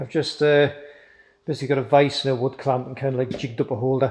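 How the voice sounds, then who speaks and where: A man's fairly high-pitched, mumbling voice. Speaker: motorcycle DIY youtuber. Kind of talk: tutorial.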